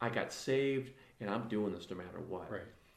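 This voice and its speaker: A man with an American accent speaks at a medium pitch and ordinary pitch variation. There is audible echo from the room. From northern Illinois, US Midwest. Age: 40s. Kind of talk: casual interview chat. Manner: animated.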